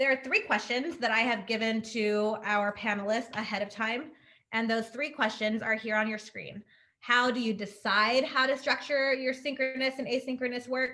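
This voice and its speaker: A woman speaks at a fairly high pitch with a bright, sharp tone. Her intonation stays fairly even. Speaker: webinar facilitator. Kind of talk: webinar presentation. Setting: video call. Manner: fast.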